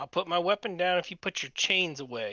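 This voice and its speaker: Using a put-on character voice, a man speaks at a fairly quick pace with a high pitch. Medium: actual play. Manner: defiant, bristly.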